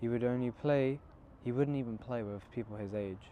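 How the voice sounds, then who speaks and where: A soft-spoken man with a dark, mellow tone. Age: young. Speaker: Islamic book reviewer. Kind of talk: casual book reflection. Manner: halting.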